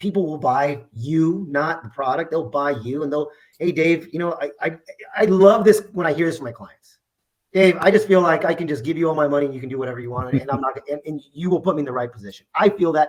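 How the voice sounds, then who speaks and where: Speaking very fast, a man with a fairly high pitch sounds animated. His loudness swings widely while his pitch varies in an ordinary way. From US, Mexican American family. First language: Spanish. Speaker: insurance agency owner. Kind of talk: interview. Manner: animated, repetitive restarts.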